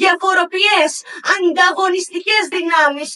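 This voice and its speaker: Her raised, projected voice sits at an extremely high pitch with ordinary pitch variation. The woman keeps a fairly slow pace. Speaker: poet. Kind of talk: poetry slam performance.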